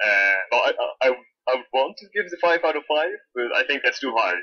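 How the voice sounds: With a slightly husky edge, a man at a medium pitch speaks with lively intonation.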